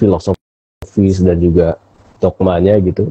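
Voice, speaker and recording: Dark, mellow, somewhat breathy male voice in a dry, close sound with no echo. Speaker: philosophy talk show host. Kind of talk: casual discussion on live stream. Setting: Instagram live stream.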